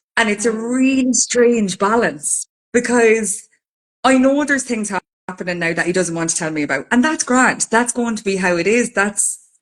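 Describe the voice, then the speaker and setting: A woman's fairly high voice in an Irish accent, with lively intonation at a moderate pace. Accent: Irish, Carlow. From Ireland, County Carlow. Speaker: podcast co-host. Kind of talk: casual chat.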